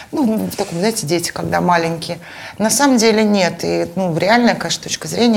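The speaker talks at a fairly quick pace with ordinary pitch variation, over noticeable background noise. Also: woman. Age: 40s. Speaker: podcast host and mother of three. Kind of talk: casual interview.

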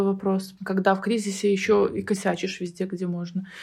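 Her voice is medium in pitch for a woman, with a dark, mellow tone and a somewhat breathy quality. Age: 30s. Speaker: psychotherapist. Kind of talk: casual chat.

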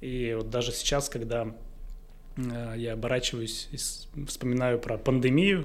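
This man has medium pitch and fairly even intonation in an ordinary speaking voice. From Russia, Izhevsk. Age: 30s. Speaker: entrepreneur, company director. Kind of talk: casual interview.

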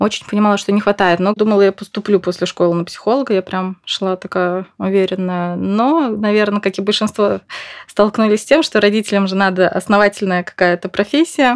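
In a dry, close sound with no echo, a woman of medium pitch talks at a fairly quick pace. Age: 30s. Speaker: mother on maternity leave, psychology student. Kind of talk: casual chat.

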